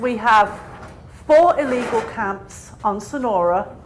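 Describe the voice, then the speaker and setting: A woman with a non-native accent speaks at a fairly high pitch. Noticeable background noise and audible room echo are present. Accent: foreign. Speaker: public commenter, retired park ranger. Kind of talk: public comment. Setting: public meeting.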